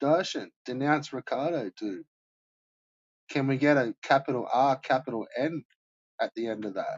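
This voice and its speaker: Mumbling and leaving long, frequent pauses, a man with an Australian accent speaks at a fairly high pitch. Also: ordinary pitch variation, moderate pace. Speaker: live streamer. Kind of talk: casual chat. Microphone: poor quality mic.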